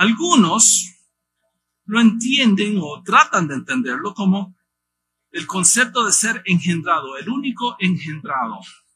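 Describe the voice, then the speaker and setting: In a raised, projected voice, a man speaks at a fairly slow pace with a high pitch and a bright, sharp tone. His pitch swings very widely. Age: 50s. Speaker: missionary pastor. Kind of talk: sermon.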